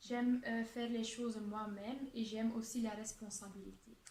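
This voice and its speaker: Amid noticeable background noise and audible room echo, a woman with a Dutch accent speaks at a fairly slow pace in a fairly high pitch with monotone, flat intonation. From Flanders, Belgium. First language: Dutch (speaking French). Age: 20s. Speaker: job applicant (student role-play). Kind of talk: role-played job interview. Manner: hesitant, many fillers.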